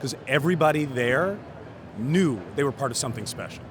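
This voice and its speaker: A man with a fairly high voice speaks at a fairly quick pace in a relaxed tone with lively intonation, over noticeable background noise. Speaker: voice actor. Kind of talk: interview answer. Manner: conversational, relaxed.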